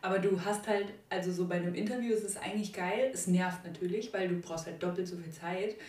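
Speech at a fairly quick pace with fairly even intonation comes through noticeable background noise and audible room echo. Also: woman, medium pitch for a woman. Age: 20s. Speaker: art student. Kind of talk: casual chat.

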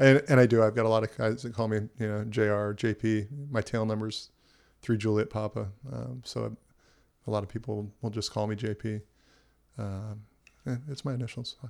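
A man with a Californian accent talks at a moderate pace with a fairly low pitch and fairly even intonation. He leaves long, frequent pauses in a very clean recording with a silent background. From Southern California. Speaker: entrepreneur and helicopter pilot. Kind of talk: casual chat. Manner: hesitant, with frequent fillers and restarts.

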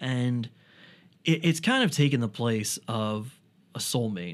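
In a very clean recording with a silent background, a man speaks at a fairly slow pace with an ordinary speaking voice, medium pitch and ordinary pitch variation. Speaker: podcast host, comedian and author. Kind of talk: casual chat. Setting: studio.

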